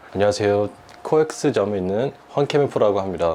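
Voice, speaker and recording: A man with a fairly low voice and ordinary pitch variation speaks at a fairly quick pace over noticeable background noise. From United States. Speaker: golf instructor. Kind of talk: golf lesson explanation. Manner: formal.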